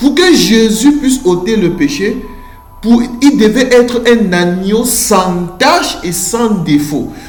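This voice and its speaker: Very slow pace over music in the background. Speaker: preacher. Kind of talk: sermon. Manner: slow, deliberate.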